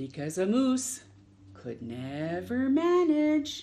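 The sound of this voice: Speaking slowly at a medium pitch, a woman shows very wide pitch swings and a dark, mellow tone.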